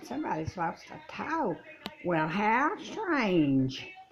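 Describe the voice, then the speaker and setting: A put-on, female-sounding character voice with very wide pitch swings and a very slow pace. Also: fairly high pitch for a woman. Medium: solo performance.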